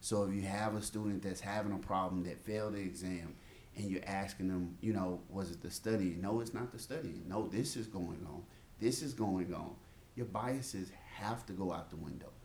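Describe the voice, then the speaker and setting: A man with an American accent speaks at a moderate pace, his pitch fairly low with ordinary variation. Room echo is audible. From Mississippi, US South. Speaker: medical school faculty, podcast co-host. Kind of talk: casual chat.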